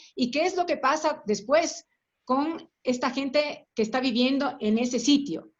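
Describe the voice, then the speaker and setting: A woman speaks in a high voice at a moderate pace, with ordinary pitch variation and very even loudness. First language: Spanish. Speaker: workshop facilitator. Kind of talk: group discussion. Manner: halting, many fillers and repetitions.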